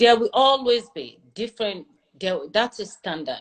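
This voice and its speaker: Lively in intonation, a woman speaks at a moderate pace with a Nigerian accent. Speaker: airline pilot. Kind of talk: interview conversation.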